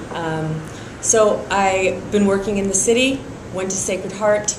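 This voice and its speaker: A woman speaks with a Californian accent. Noticeable background noise and audible room echo are present. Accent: General American, California. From San Francisco, California. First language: French. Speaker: prosecutor and district attorney candidate. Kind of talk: interview. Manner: hesitant, many fillers.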